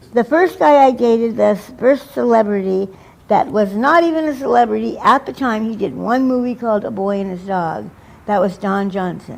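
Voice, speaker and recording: Noticeable background noise accompanies a woman speaking at a fairly high pitch. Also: lively intonation, moderate pace. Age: 60s. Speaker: interviewee, recovering drug user. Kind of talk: interview. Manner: halting.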